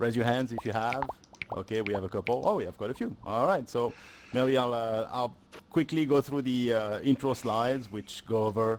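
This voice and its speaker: A man with a French accent talks at a moderate pace. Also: medium pitch for a man, ordinary pitch variation. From France. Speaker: solution engineer presenting at a tech event. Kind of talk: presentation talk. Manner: hesitant with many fillers.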